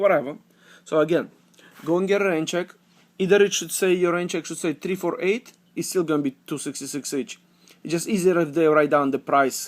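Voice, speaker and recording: The recording is very clean, with a silent background. The speech comes at a very fast pace. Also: man. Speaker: couponing vlogger. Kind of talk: casual tutorial. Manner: halting, many fillers.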